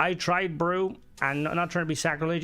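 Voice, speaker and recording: A man with an Irish accent. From Ireland. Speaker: gaming streamer. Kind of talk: live gameplay stream commentary. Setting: live stream. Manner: casual, chatty.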